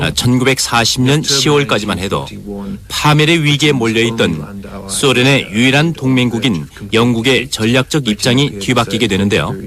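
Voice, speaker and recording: Over noticeable background noise, a man of medium pitch talks at a moderate pace with lively intonation. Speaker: voice actor dubbing a historian interviewee. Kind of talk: interview answer. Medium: dub.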